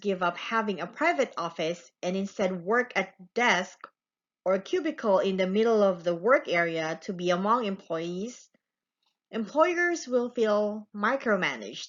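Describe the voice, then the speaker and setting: With a non-native accent, a woman speaks fairly slowly at a medium pitch with lively intonation. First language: not English. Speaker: student. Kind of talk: class presentation. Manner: slow, deliberate.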